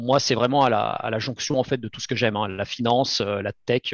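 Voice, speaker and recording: Vocal fry runs through this man's fairly quick delivery, his intonation fairly even. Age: 30s. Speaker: crypto startup cofounder. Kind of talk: interview. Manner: halting, frequent repetitions.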